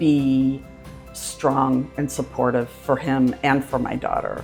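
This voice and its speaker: Music plays behind a woman whose very deep, low voice holds fairly even intonation at a very slow pace. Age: 60s. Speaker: dental patient. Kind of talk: patient testimonial interview.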